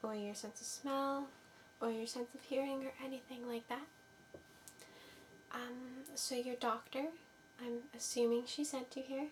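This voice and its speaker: Whispering and soft-spoken, a woman talks at a fairly slow pace. Long, frequent pauses break her speech amid noticeable background noise. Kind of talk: ASMR medical exam roleplay. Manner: soft-spoken, whispering.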